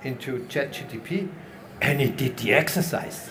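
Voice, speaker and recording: A man with a non-native accent speaks at a fairly high pitch with ordinary pitch variation, amid noticeable background noise and audible room echo. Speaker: panel moderator, industry expert. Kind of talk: panel discussion.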